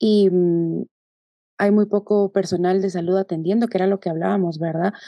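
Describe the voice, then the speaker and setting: A woman speaks at medium pitch in a dark, mellow tone with monotone, flat intonation. The sound is dry and close, with no echo. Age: 20s. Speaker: doctor. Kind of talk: casual interview.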